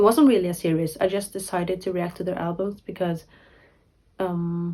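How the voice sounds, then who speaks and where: Speaking at a moderate pace, a woman with a non-native accent has a dark, mellow tone. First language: not English. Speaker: K-pop YouTuber. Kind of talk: casual vlog talk to camera. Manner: rambling, filler-heavy; halting, self-correcting.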